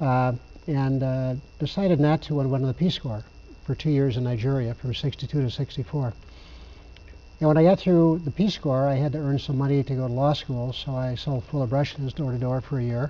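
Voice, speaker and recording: A man with an American accent, medium pitch, dark and mellow tone, fairly quick pace and fairly even intonation. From US Midwest, Chicago. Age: 70s. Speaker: attorney and housing developer. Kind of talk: interview.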